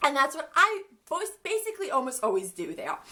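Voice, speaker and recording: With a bright, sharp tone, a woman uses a raised, projected voice that makes very wide pitch swings. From Ukraine. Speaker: vlogger. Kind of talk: storytime vlog. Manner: casual, filler-heavy.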